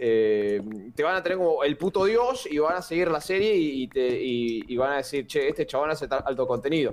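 This man speaks with a Rioplatense accent at a fairly high pitch. His loudness stays very even. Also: lively intonation, moderate pace. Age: 20s. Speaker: YouTuber. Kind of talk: casual chat.

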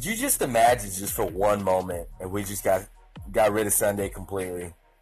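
With music in the background, the speaker keeps an upbeat tone at a moderate pace. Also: man. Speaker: podcast host. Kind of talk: casual, slangy, some profanity. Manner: casual, rambling, upbeat.

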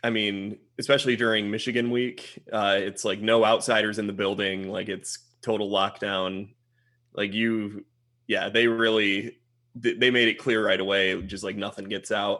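In a Midwestern American accent, a man speaks at a fairly low pitch with monotone, flat intonation. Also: moderate pace. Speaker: freelance film editor, recent graduate. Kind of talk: casual interview, guest talk. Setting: video call.

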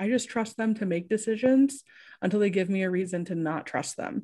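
In a very clean recording with a silent background, a woman with a Midwestern American accent talks at a moderate pace with lively intonation. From small-town Indiana. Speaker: sports journalist. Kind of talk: casual interview.

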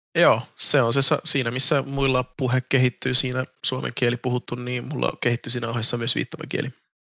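A man speaks at a moderate pace and a medium pitch, with vocal fry, monotone, flat intonation and hardly any pauses. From Finland. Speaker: YouTuber. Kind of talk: casual chat.

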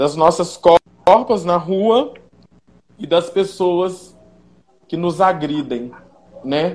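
The pace is very slow. Long pauses come often. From Pedro Leopoldo, Minas Gerais, Brazil. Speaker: history student. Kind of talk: discussion panel.

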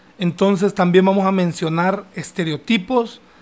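A man's high-pitched voice in a Honduran accent, with fairly even intonation. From Honduras. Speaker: podcast host. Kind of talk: casual chat.

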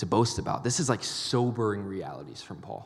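Animated man at medium pitch, with audible room echo. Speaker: college ministry preacher. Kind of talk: sermon.

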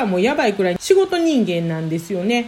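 Noticeable background noise accompanies a woman whose voice moves through very wide pitch swings. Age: 40s. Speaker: healer and podcaster. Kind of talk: solo podcast monologue. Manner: fast when flustered.

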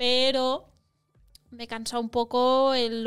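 In a very clean recording with a silent background, the voice moves at a very slow pace with monotone, flat intonation. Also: woman. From Catalonia, near Montseny. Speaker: actress. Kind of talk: casual chat.

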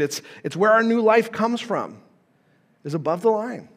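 This man speaks with an American accent at a fairly quick pace. His pitch is high and his intonation lively. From Nevada, US West. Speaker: pastor. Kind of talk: sermon. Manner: halting, many fillers.

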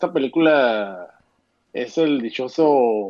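Speaking with a Mexican accent, this man has a medium pitch. His pace is very slow. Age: 30s. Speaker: film commentator. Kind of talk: casual chat.

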